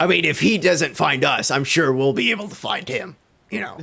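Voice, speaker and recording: A man puts on a raspy character voice, high in pitch, with lively intonation and a fairly quick pace. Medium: actual play. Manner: gruff, matter-of-fact.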